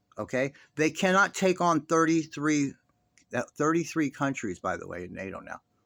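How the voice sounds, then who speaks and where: A man with an American accent speaks at a moderate pace and fairly high pitch, his tone animated and intonation lively, with big swings in loudness in a dry, close sound with no echo. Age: 50s. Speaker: political commentary vlogger. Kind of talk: casual monologue. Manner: halting.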